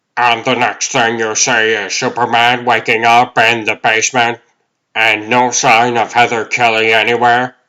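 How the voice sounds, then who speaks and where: A man's put-on character voice at medium pitch, in a monotone, flat intonation. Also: moderate pace. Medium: fan dub.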